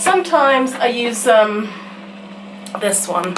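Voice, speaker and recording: A woman speaks with a British accent and ordinary pitch variation. Noticeable background noise sits behind her. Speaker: vlogger. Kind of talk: casual vlog to camera. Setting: at home.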